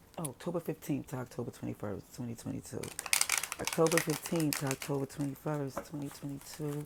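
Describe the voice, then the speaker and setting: Someone talks at a fairly quick pace against noticeable background noise. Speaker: tarot reader. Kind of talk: tarot reading.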